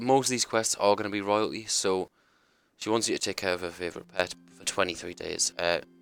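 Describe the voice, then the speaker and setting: Music plays in the background as a man talks at a fairly quick pace and fairly low pitch. His intonation is fairly even, with big swings in loudness. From UK. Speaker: gaming streamer. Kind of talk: gameplay tutorial commentary. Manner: casual, hesitant with many ums.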